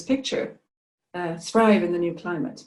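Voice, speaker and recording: A woman with a Swedish accent at a moderate pace. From Sweden. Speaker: climate and environment adviser. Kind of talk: presentation talk. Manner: hesitant with fillers.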